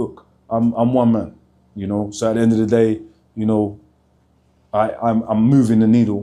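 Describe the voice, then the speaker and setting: A man with a London accent at medium pitch, in a dark, mellow tone. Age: 40s. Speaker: motivational speaker, former prisoner. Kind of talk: vlog to camera. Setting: outdoors outside a prison. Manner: fast; energetic.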